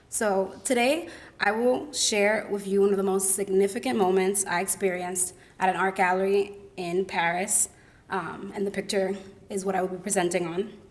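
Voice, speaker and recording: Medium pitch from a woman speaking at a moderate pace with fairly even intonation, over noticeable background noise. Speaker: college student presenter. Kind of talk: academic presentation. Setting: symposium with audience.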